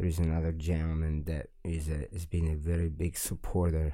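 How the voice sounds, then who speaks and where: A man with an Italian accent speaks in a dark, mellow tone at a very deep, low pitch, in a very clean recording with a silent background. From Italy, Milan. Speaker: musician and studio owner. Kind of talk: interview. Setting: studio.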